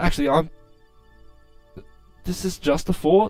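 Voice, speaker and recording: Music plays in the background as a man speaks. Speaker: gameplay commentator. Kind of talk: casual gameplay commentary.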